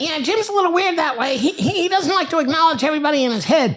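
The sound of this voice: A man's put-on character voice, extremely high-pitched, at a very fast pace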